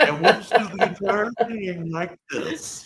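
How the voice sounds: A booming, put-on character voice sits at a middle pitch. It moves at a fairly slow pace.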